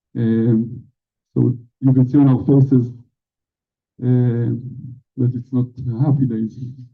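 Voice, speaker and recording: The man speaks with a monotone, flat intonation. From Israel. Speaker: October 7th survivor. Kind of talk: testimony. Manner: halting.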